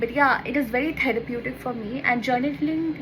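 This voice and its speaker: Amid audible room echo and noticeable background noise, a woman with a Bengali accent speaks at a moderate pace in a high voice. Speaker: lifestyle YouTuber. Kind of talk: casual vlog tutorial. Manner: chatty, informal.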